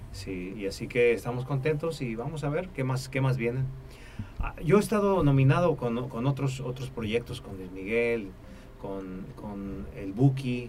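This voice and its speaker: A somewhat breathy voice at a fairly slow pace, with audible room echo. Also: man, medium pitch for a man, lively intonation. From Mexico, Tampico, Tamaulipas. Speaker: musician and music producer. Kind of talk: interview. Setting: studio.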